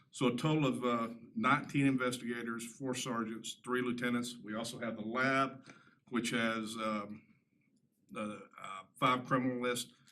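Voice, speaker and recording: With a strong Southern US accent, a man speaks at a medium pitch in a bright, sharp tone with monotone, flat intonation, and audible room echo. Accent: Southern drawl, fairly strong. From Tennessee. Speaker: sheriff's lieutenant. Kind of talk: public presentation at a town board meeting. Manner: halting, many fillers.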